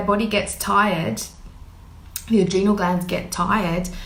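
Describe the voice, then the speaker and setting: Against noticeable background noise and audible room echo, a woman at a medium pitch speaks at a fairly slow pace with monotone, flat intonation. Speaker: intuitive healer. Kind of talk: live stream talk. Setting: Facebook live.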